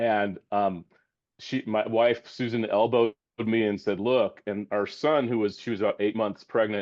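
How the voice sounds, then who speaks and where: Here a man talks at a medium pitch and a moderate pace. His intonation stays fairly even. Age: 60s. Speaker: communication scholar, audience member. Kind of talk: panel discussion. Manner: halting.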